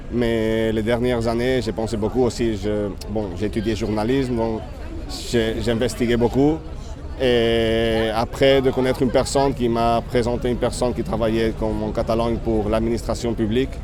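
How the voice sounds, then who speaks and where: A man speaks with monotone, flat intonation. There is noticeable background noise and audible room echo. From Spain, Catalonia (Barcelona). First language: Spanish/Catalan (speaking French). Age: 30s. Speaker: festival worker interviewed on the street. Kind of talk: street interview. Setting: outdoors in Paris near a landmark. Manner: halting.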